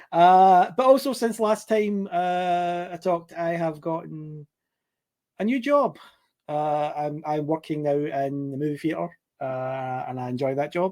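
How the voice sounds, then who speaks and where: The voice has a dark, mellow tone and a Scottish accent. Its pace is fairly slow. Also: man. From Scotland, Glasgow. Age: 40s. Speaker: podcast guest, cinema worker. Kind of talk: casual chat. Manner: halting, many fillers.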